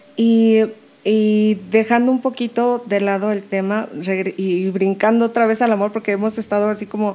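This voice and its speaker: At a moderate pace, a woman speaks in a dark, mellow tone at medium pitch, her intonation monotone and flat. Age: 40s. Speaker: podcast host. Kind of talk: casual interview chat.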